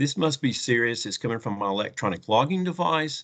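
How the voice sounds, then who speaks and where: Against a quiet background, a man with a slight Southern US accent talks at a fairly quick pace. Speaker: trucking technology company representative. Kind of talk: conference presentation.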